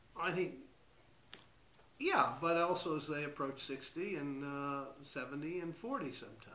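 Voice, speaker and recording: Heard with audible room echo, a man with a fairly high pitch and a bright, sharp tone speaks at a moderate pace with ordinary pitch variation and long, frequent pauses. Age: 60s. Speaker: physician. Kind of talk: interview. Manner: hesitant, with fillers.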